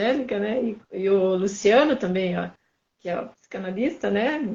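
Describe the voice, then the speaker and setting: A woman speaks at a fairly slow pace. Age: 60s. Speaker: guest in conversation. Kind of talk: casual conversation.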